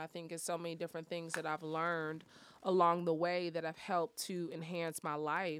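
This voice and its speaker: The recording is very clean, with a silent background. A woman speaks at a moderate pace in an ordinary speaking voice, her pitch fairly low. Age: 30s. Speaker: motivational speaker and fitness coach. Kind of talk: casual interview.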